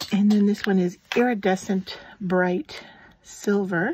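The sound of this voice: A woman speaks at a fairly slow pace with fairly even intonation. Her medium-pitched voice has a slightly mellow tone and a slightly husky edge.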